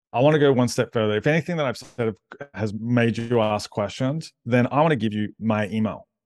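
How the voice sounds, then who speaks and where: Over a quiet background, a man with an Australian accent talks at a fairly quick pace in a medium pitch with ordinary pitch variation, the sound dry and close with no echo. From Australia, western suburbs of Melbourne. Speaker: church digital ministry director and author. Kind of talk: podcast interview.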